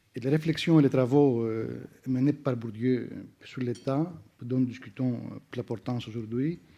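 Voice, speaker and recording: A man with a non-native accent speaks at a medium pitch in a dark, mellow tone. His pace is fairly slow and his intonation fairly even. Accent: foreign accent in French. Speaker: sociologist. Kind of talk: academic round-table talk. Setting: conference with audience. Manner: hesitant, many fillers.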